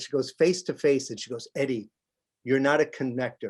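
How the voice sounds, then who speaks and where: A man speaks with a New York accent at a medium pitch. The background is quiet. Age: 60s. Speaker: television stage manager. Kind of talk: interview.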